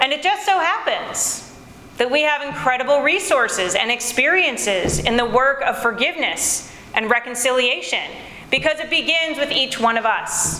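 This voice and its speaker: A woman with an American accent speaks in a raised, projected voice, high-pitched and with lively intonation, at a moderate pace. Noticeable background noise and audible room echo fill the recording. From United States. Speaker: preacher. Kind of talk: sermon.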